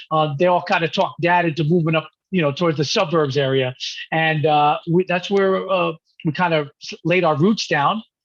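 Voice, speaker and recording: A man with a New York accent, fairly high in pitch, fairly even in intonation, at a moderate pace. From New York (Manhattan, Rockland County). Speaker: musician. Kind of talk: interview.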